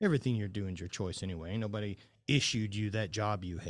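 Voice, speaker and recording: Against a quiet background, a man with a Southern US accent talks at a fairly quick pace and a fairly low pitch. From Louisiana, US South. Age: 40s. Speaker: former highland games athlete, mindset coach. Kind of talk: casual chat.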